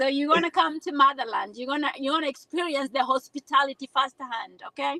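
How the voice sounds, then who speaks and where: A woman with a Kenyan accent, high pitch, a bright, sharp tone and a raised, projected voice, ordinary pitch variation, a fairly quick pace with hardly any pauses, and dry, close sound with no echo. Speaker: nurse giving testimonial. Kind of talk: testimony. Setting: video call from a car. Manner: animated.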